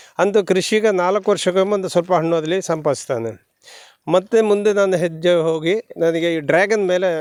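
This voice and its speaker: The speaker is a man with a high voice. His pitch varies in an ordinary way. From Dakshina Kannada, Karnataka (Sullia taluk). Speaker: retired soldier turned farmer. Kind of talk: interview. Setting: outdoors on farm.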